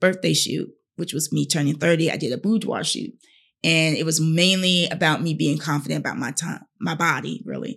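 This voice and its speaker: In a very clean recording with a silent background, a woman speaks with an American accent at a fairly quick pace. Her pitch is very deep and low, with vocal fry. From North Carolina. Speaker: teacher and model. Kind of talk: interview conversation.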